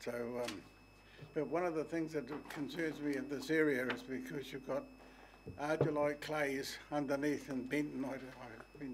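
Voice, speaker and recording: New Zealand accent from a man of medium pitch, fairly even intonation, in a room with audible echo. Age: 80s+. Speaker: soil consultant making a public submission. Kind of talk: public submission to council. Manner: halting.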